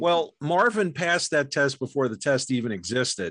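A man with an American accent speaks in a normal speaking voice, fairly high-pitched, at a moderate pace. His intonation is lively, and the background is quiet. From New York. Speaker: documentary filmmaker and film historian. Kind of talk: casual chat.

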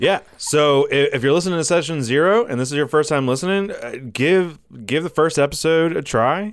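The speaker has an American accent and keeps a fairly quick pace. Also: man. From US South, upstate South Carolina. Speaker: podcast host. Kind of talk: casual chat. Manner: animated.

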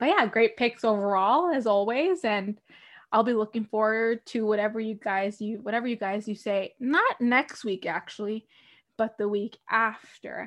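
A woman with an unremarkable speaking voice talks at a moderate pace in a fairly high pitch, with ordinary pitch variation against a quiet background. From Canada. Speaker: hockey podcast host. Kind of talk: trivia quiz hosting; casual chat.

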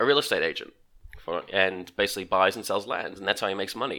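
A man with an Australian accent has a bright, sharp tone and ordinary pitch variation. The recording is very clean, with a silent background. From Australia, Melbourne. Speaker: podcast guest. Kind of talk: casual chat.

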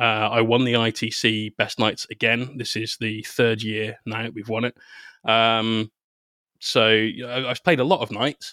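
A man's medium-pitched, bright, sharp voice in a West Country accent, fairly slow and monotone, flat, with a dry, close sound with no echo on a very clean recording with a silent background. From Bristol, southwest England. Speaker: painter and content creator. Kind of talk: casual interview chat.

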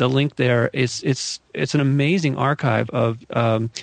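A man speaks with an American accent. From US West Coast, Malibu, California. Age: 50s. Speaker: UFO researcher and author. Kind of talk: interview conversation.

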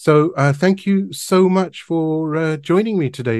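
Speaking at a moderate pace over a quiet background, a man has an unremarkable speaking voice with a fairly high pitch and ordinary pitch variation. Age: 50s. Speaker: homeopath and podcast host. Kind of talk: casual interview.

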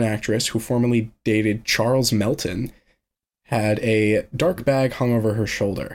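At a moderate pace, a man in a normal speaking voice talks at a medium pitch with ordinary pitch variation, captured in a very clean recording with a silent background. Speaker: podcast host. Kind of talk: casual chat.

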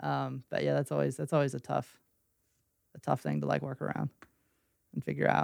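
An American-accented man speaks at a fairly quick pace, yet with long, frequent pauses. The sound is dry and close, with no echo. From West Virginia (Weston). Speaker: small business owner, designer. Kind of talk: casual chat. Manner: halting, many fillers.

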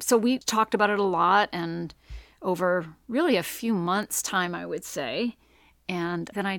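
A woman with an American accent speaks in a plain, everyday voice at medium pitch with lively intonation. The sound is dry and close with no echo, on a very clean recording with a silent background. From Maine, US (Mexico, mill town). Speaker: playwright and author. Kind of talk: casual interview chat.

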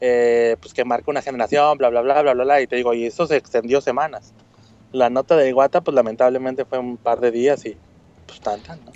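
An ordinary speaking voice from a man, medium in pitch, at a fairly quick pace with big swings in loudness. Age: 30s. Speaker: correspondent in Japan. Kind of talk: casual chat.

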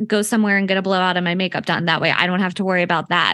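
Against a quiet background, someone speaks with an American accent in a bright, sharp tone. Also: woman. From Philadelphia area, Pennsylvania. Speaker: publicist and podcast host. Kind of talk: casual interview chat.

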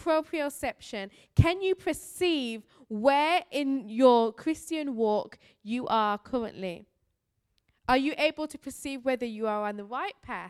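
Speaking fairly slowly in a Birmingham accent, a woman uses a high pitch, lively intonation and big shifts in loudness, recorded dry and close with no echo. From Birmingham, England. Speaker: missionary preacher. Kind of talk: sermon. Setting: church.

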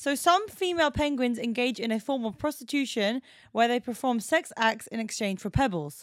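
Lively intonation marks a woman's high voice at a moderate pace. The recording is very clean, with a silent background. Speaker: podcast co-host. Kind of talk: casual chat podcast. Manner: laughs often, banter.

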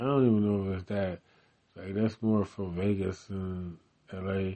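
A man's fairly low voice in a monotone, flat intonation. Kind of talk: casual solo rambling, mic test. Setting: home recording with small mic. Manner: rambling, filler-heavy.

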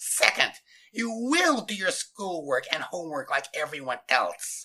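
A man puts on a character voice with a fairly high pitch and a bright, sharp tone. He talks at a fairly slow pace with big pitch swings.

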